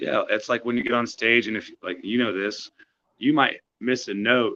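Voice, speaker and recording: Loud and bright with a sharp tone, a man at medium pitch speaks at a moderate pace with fairly even intonation. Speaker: singer-songwriter. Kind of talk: casual chat.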